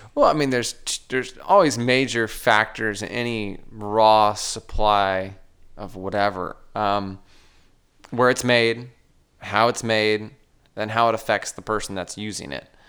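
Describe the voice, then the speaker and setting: A man with an American accent has a normal speaking voice at a fairly low pitch and a fairly slow pace. His intonation is fairly even, with big swings in loudness. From southern California. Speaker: entrepreneur, print shop owner. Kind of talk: interview.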